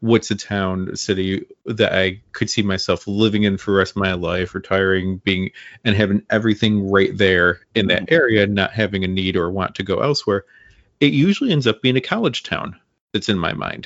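A man talks in a normal speaking voice at a fairly quick pace, his intonation fairly even. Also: fairly low pitch for a man. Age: 40s. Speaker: comic book podcast host. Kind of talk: casual interview chat.

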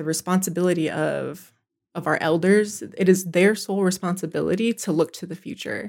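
On a very clean recording with a silent background, a woman speaks at a fairly low pitch and moderate pace, with vocal fry and ordinary pitch variation. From Pine Ridge Reservation, South Dakota. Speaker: education program leader. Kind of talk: conversational interview.

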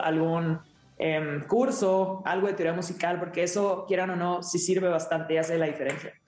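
Noticeable background noise sits behind this woman's voice. She speaks at a fairly low pitch and a moderate pace.

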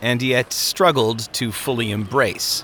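An unforced reading voice carries this clip. Its intonation stays fairly even.

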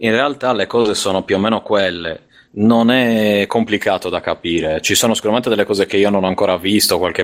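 A man speaks in an unremarkable speaking voice with a fairly low pitch. His pace is moderate and his pitch variation ordinary. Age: 30s. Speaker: podcast co-host. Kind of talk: casual chat.

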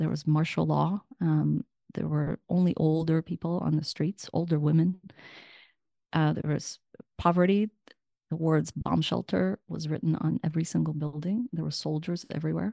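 In a Russian accent, a woman talks with a very deep, low pitch and a dark, mellow tone. Her pace is moderate, her pitch variation ordinary, and the sound dry and close with no echo. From Ukraine and Russia, then San Francisco. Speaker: author and journalist. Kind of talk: radio interview. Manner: halting, many fillers.

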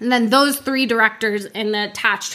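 A woman talks fairly quickly with fairly even intonation as noticeable background noise carries on. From Florida, Orlando. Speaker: advertising production head. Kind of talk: casual interview.

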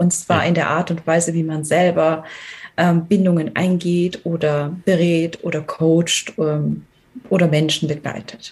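A woman speaks in a flat monotone at a fairly low pitch. Her pace is fairly slow. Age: 40s. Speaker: team coach. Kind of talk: podcast interview. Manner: hesitant, many filler sounds.

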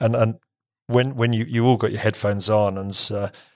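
A man with an English accent speaks in a fairly low pitch with fairly even intonation. The recording is very clean, with a silent background. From England. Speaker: business executive. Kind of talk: interview. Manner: halting, many repeated words.

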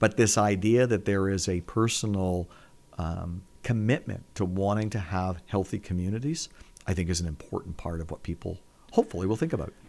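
A man with a Canadian accent speaks at a fairly quick pace in an unremarkable speaking voice. His pitch is fairly low, with ordinary pitch variation. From Hamilton, Ontario, Canada. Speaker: nonprofit executive. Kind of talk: interview.

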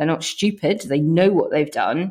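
The woman's intonation stays fairly even. She speaks at a moderate pace. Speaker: political campaign CEO. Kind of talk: panel discussion.

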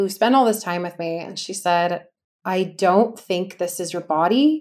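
A woman with a Californian accent at a medium pitch, in a very clean recording with a silent background. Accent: Californian American. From US West Coast, Los Angeles. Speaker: wellness coach and former fitness business founder. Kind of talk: interview about personal healing journey.

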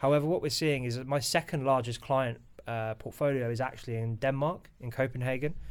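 With a British accent, a man speaks at a fairly quick pace and with fairly even intonation. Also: medium pitch for a man. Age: 30s. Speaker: financial advisor. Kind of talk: interview.

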